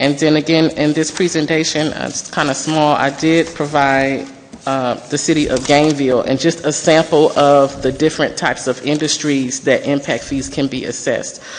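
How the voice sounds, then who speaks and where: Amid noticeable background noise, a woman with a very deep, low voice speaks in a monotone, flat way with hardly any pauses. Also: moderate pace. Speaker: consultant presenter. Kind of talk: presentation. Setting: city council meeting.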